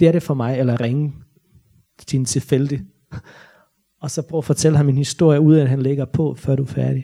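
The voice is dark, mellow and somewhat breathy, with fairly even intonation. It moves at a fairly quick pace but has long, frequent pauses. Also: man, fairly high pitch for a man. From Bosnia. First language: Bosnian/Croatian (speaking Danish). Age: 30s. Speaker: novelist. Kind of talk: author talk with Q&A. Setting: library stage with audience. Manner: halting, many fillers.

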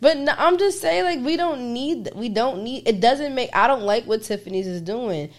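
A woman speaks at a moderate pace with hardly any pauses, her high pitch making very wide swings. She has a New York accent. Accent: New York area. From New Jersey. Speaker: podcast co-host. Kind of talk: casual chat. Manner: loud.

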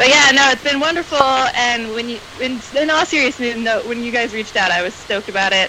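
A woman with an American accent, high-pitched, at a fairly quick clip with hardly any pauses, over noticeable background noise. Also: ordinary pitch variation. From US South, Atlanta, Georgia. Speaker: fan guest. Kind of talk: casual chat.

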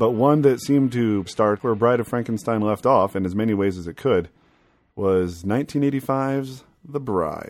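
A man's medium-pitched voice, with ordinary pitch variation, proceeds at a moderate pace while music plays in the background. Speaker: podcast host. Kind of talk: casual chat.

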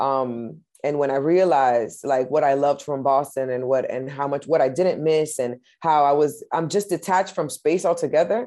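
This woman has a very deep, low pitch and a dark, mellow tone, with a slight Spanish accent. She talks with ordinary pitch variation and hardly any pauses against a quiet background. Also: moderate pace. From Massachusetts, US. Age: 30s. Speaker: musician. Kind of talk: casual interview.

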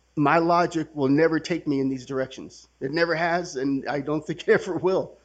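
A man with an American accent has a normal speaking voice, fairly high in pitch, with fairly even intonation. He talks at a fairly quick pace over a quiet background. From California, San Francisco Bay Area (Milpitas). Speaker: recovering alcoholic, main speaker at a retreat. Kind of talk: testimony.

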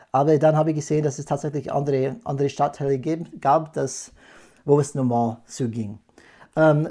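At a moderate pace, a man with an American accent speaks in a dark, mellow tone on a very clean recording with a silent background. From California, USA, then moved abroad often. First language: English (speaking German). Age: 40s. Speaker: podcast host, change management consultant. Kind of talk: casual chat. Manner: hesitant, many fillers.

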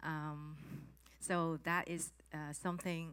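In a Chinese accent, a woman speaks with fairly even intonation and a fairly low pitch. The recording is very clean, with a silent background. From Hong Kong. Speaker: former corporate trainer, new preacher. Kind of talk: testimony. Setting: church conference with audience.

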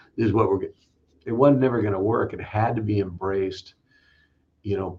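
Somewhat breathy, a man with an American accent talks with fairly even intonation. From US West Coast, Los Angeles area. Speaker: fire chief. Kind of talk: interview. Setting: video call.

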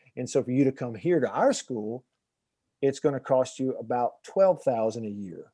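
A man in a Southern US accent, medium-pitched and dark and mellow in tone, with ordinary pitch variation at a moderate pace. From Alabama, US South. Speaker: documentary filmmaker and former radio host. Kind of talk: podcast interview.

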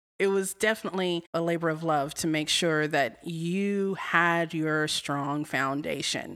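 A woman with an American accent speaks in an ordinary speaking voice at a fairly low pitch, at a fairly slow pace with hardly any pauses and fairly even intonation. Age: 30s. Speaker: community theater actress. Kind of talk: interview.

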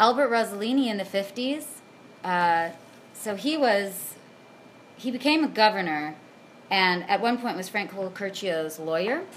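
A woman with a Pacific Northwest accent, lively intonation, and long, frequent pauses. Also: medium pitch for a woman, fairly slow pace. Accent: Pacific Northwest American. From Washington State, Puyallup (Pierce County). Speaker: theatre performer and producer. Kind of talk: interview.

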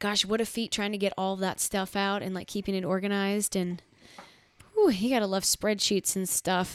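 This woman speaks with an American accent at a medium pitch. Her intonation is monotone and flat. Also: moderate pace, very clean recording, silent background. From US Midwest, Chicago area. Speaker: singer-songwriter in a band. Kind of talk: casual chat.

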